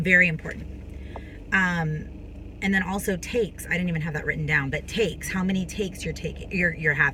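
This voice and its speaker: Over noticeable background noise, a woman with a fairly low voice talks at a fairly quick pace in a fairly even intonation. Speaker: actress and vlogger. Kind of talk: casual tutorial vlog. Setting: on a film set, recording between takes. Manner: fast.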